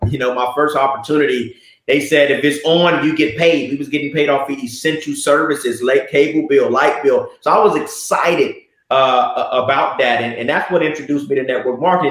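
Against a quiet background with audible room echo, a man with an American accent talks at a fairly quick pace. His voice is fairly high, with ordinary pitch variation. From US South, Miami (Liberty City); Florida. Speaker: network marketing entrepreneur; interview guest. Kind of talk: casual interview. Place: office.

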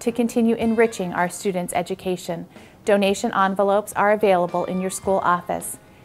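Faint music plays in the background. The speech moves at a fairly quick pace with fairly even intonation. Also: woman. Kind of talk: prepared announcement. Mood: friendly, formal. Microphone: lapel.

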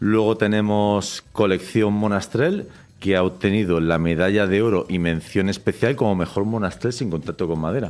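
A man with a fairly low pitch, an ordinary speaking voice, and a fairly quick pace. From Alicante, Spain; Spain. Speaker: winemaker; guest. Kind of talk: interview. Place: studio. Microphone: studio mic.

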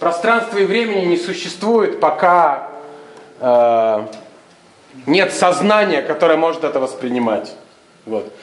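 In a room with audible echo and light background noise, a man with a high pitch talks at a very slow pace, his pitch swinging very widely between long, frequent pauses. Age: 40s. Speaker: improv theatre director; theatre host. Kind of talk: address to audience before a show. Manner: casual, animated. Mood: animated storytelling. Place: hall. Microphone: camera far.

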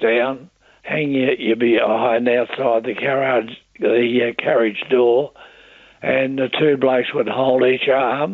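A man with an Australian accent speaks at a very slow pace. His medium pitch stays in a monotone, flat intonation. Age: 80s+. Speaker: war veteran. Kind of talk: interview answer. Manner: hesitant, halting.

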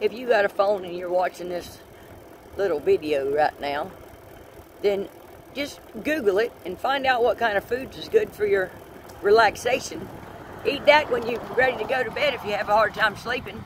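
The speech moves at a moderate pace with long, frequent pauses. The sound is dry with no echo, though background noise is noticeable. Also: man. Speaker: grandmother vlogger. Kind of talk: casual vlog chat. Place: bicycle. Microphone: phone near.

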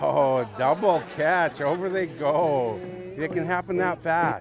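With an upbeat tone and ordinary pitch variation, the voice moves at a very slow pace, dry with no echo, as clear music plays in the background. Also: man, fairly high pitch for a man. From Cowichan, Vancouver Island, British Columbia, Canada. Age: 60s. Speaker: First Nations knowledge keeper and cultural educator. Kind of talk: instructing students during a game. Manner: upbeat, encouraging. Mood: warm, encouraging. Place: open country.

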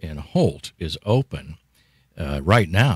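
Male voice in a dry sound with no echo against a quiet background. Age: old. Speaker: radio host. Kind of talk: radio interview. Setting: radio studio. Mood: friendly, light joking. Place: studio. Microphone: studio mic.

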